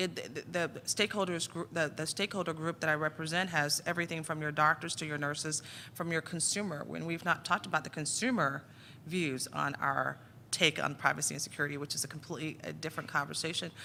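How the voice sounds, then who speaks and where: Speech moves at a very fast pace. The recording is very clean, with a silent background. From Jamaica. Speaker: health IT executive and panelist. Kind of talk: panel discussion. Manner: halting, many repetitions; speeds up when excited.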